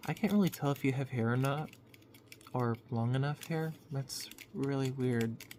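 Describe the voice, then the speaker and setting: A woman's very deep, low voice, calm and soothing, at a moderate pace with ordinary pitch variation. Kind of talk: ASMR roleplay talking to the listener. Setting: low quality lo-fi mic. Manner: calm, caring, soothing the listener to sleep.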